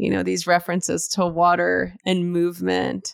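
A woman speaks at a fairly slow pace with an American accent, on a very clean recording with a silent background. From US West Coast, East Los Angeles. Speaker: yoga and meditation teacher, author. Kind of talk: casual interview.

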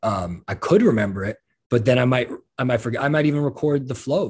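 A man with an American accent talks at a very fast pace in a somewhat breathy voice. His pitch varies in an ordinary way, over a quiet background. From New York. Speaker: rapper. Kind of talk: casual interview.

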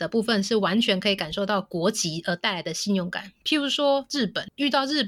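A woman's fairly high-pitched, normal speaking voice with lively intonation at a fairly quick pace. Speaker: co-working office sales rep. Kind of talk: casual interview chat.

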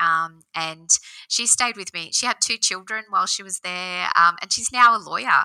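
A woman's bright, sharp, medium-pitched voice with an Australian accent at a moderate pace, dry and close with no echo. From Australia, Central West New South Wales. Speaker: business owner. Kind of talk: interview.

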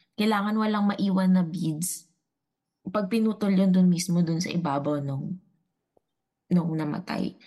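A woman's dark, mellow, somewhat breathy voice at medium pitch, fairly slow, with ordinary pitch variation and long, frequent pauses. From Dumaguete, Visayas, Philippines. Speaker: returning guest, psychology-trained storyteller. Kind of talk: casual storytelling. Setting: online call.

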